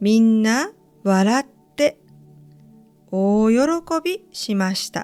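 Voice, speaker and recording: A gentle, warm tone at a very slow pace, with long, frequent pauses, ordinary pitch variation and music in the background. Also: woman, fairly high pitch for a woman. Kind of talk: read story. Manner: gentle, warm, calm.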